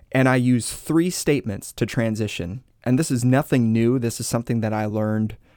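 The recording is very clean, with a silent background. A man talks at a moderate pace in a normal speaking voice, with medium pitch and fairly even intonation. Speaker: pastor. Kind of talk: casual teaching conversation.

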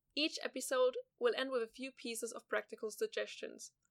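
A woman speaks at a fairly quick pace with a German accent. The sound is dry and close, with no echo. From southwest Germany. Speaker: podcast host, journalism student. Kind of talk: scripted narration.

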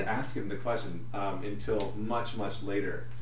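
Over noticeable background noise, a man speaks in a Western Canadian accent. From Alberta, Canada (St. Albert near Edmonton). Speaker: community founder. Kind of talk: interview.

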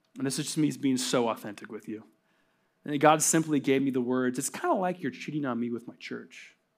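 A man's medium-pitched, normal speaking voice at a fairly quick pace, with ordinary pitch variation, in a very clean recording with a silent background. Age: 30s. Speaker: pastor. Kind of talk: sermon. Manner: casual, conversational.

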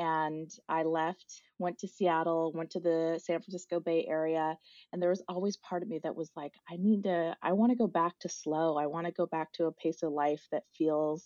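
A woman speaks at a moderate pace with a fairly low pitch and fairly even intonation, in an American accent. It is an ordinary speaking voice. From US Midwest, South Dakota. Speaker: nature educator and founder. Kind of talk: podcast interview.

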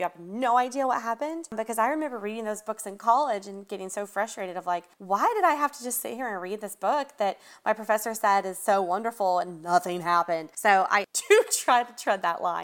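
With a Southern US accent, a woman talks at a fairly quick pace with hardly any pauses, her fairly high pitch carrying lively intonation and big swings in loudness over a very clean recording with a silent background. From US South, Atlanta. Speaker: horror author. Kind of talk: interview.

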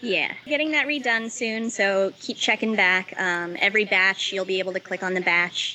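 In an ordinary speaking voice, a woman talks at a moderate pace with hardly any pauses. Her pitch is medium, with ordinary pitch variation. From Los Angeles, US. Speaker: head distiller. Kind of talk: interview.

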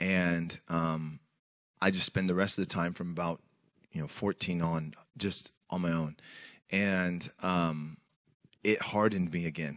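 Against a quiet background, a man with a Pacific Northwest accent and a very deep, low pitch speaks at a fairly slow pace, with fairly even intonation and long, frequent pauses. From US Pacific Northwest (Tacoma, Washington). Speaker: senior pastor, guest preacher. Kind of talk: sermon. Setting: church with congregation.

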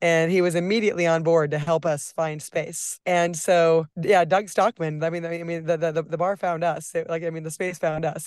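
A woman with a fairly low pitch speaks in a flat monotone over a quiet background. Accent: American. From Nebraska. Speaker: cocktail bar owner. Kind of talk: interview.

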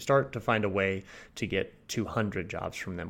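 Over a quiet background, a man speaks at a moderate pace in an unremarkable speaking voice with ordinary pitch variation. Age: 30s. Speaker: podcast host. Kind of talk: podcast interview.

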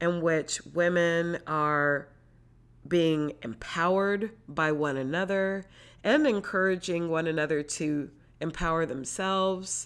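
On a very clean recording with a silent background, a woman speaks very slowly at a fairly low pitch with ordinary pitch variation. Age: 40s. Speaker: podcast host and yoga teacher. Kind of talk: solo monologue podcast.

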